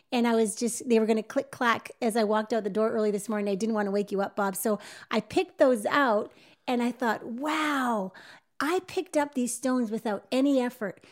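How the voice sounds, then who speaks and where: A woman speaks at a fairly quick pace in an animated tone, her fairly high pitch showing ordinary variation. The recording is very clean, with a silent background. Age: 50s. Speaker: marriage podcast host. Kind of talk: casual chat.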